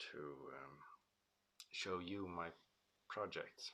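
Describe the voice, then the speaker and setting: Quiet and very deep, a man's low voice carries a bright, sharp tone. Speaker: car restoration YouTuber. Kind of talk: casual vlog monologue. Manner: slow; quiet, hesitant with many fillers.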